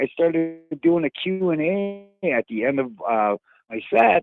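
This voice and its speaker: A man with an American accent talks at a fairly high pitch, his voice swinging very widely in pitch. Music plays in the background. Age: 60s. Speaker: stand-up comedian. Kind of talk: casual chat. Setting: phone call.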